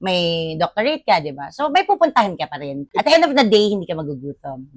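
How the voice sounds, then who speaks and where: A woman's medium-pitched voice at a very fast pace, with very wide pitch swings, big swings in loudness, and a dry, close sound with no echo. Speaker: business owner. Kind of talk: podcast interview.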